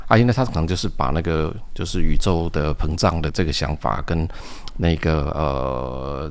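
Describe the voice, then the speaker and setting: The voice shows ordinary pitch variation. Vocal fry can be heard. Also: man. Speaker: science fiction writer and engineer. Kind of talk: interview.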